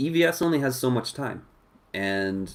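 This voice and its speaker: A man's voice with very wide pitch swings, at a fairly slow pace. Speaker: live-stream host, comics commentator. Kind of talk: casual live-stream chat. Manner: slow-paced.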